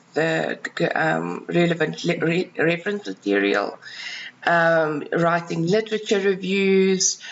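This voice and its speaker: A woman with a South African accent and a fairly low pitch, at a very slow pace over noticeable background noise. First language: Afrikaans. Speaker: freelance researcher and writer. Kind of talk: self-introduction video. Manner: hesitant, many fillers.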